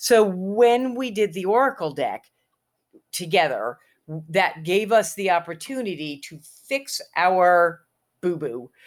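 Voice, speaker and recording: A woman at a medium pitch talks at a very slow pace with lively intonation, big swings in loudness, and long, frequent pauses. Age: 60s. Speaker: author and witch. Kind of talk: casual chat. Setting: video call.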